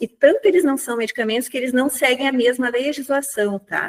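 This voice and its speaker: The pace stays moderate. A woman's high-pitched voice carries the words. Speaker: pain physician. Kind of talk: lecture.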